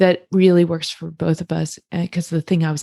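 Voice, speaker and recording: A woman's somewhat breathy, fairly low voice comes at a moderate pace in a very clean recording with a silent background and a dry, close sound with no echo. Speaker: couples therapist. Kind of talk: casual podcast discussion.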